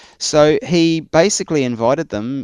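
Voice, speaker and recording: Against a quiet background, a man with a New Zealand accent speaks with ordinary pitch variation in a dry, close sound with no echo. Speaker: church historian. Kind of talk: interview. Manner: halting.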